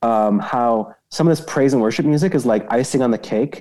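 A man with a Canadian accent has a dark, mellow tone. He speaks at a medium pitch and a fairly quick pace. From northern Saskatchewan, Canada. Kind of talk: interview conversation.

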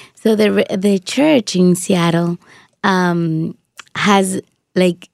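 A woman with a Spanish accent, very slow in pace and fairly low in pitch. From Dominican Republic. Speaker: shoebox recipient, radio worker. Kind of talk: testimony. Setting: studio.

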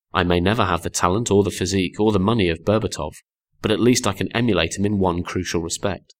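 Little can be heard behind the speaker. The reading voice sounds natural.

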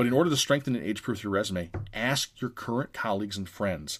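A man talks at a fairly quick pace in a plain, everyday voice with lively intonation. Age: 30s. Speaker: podcast host and job-search speaker. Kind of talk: live presentation with Q&A. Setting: video call presentation to a group.

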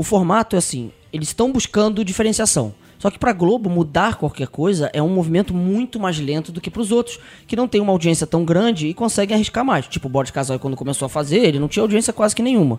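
A man at a very fast pace with hardly any pauses, high pitch and lively intonation. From São Paulo, Brazil. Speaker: podcast guest. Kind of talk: casual chat.

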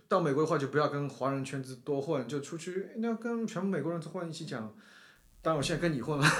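This man's fairly high voice moves at a very fast pace with ordinary pitch variation. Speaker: startup founder. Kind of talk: casual interview chat. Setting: studio, face to face. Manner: animated, laughs often.

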